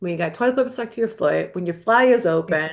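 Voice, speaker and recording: Speaking very fast, a woman uses an American accent and an animated tone. Her intonation is lively. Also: quiet background. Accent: New York accent, thick among the right people. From New York. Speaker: mental health counselor, podcast co-host. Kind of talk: casual chat. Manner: animated, lots of fillers.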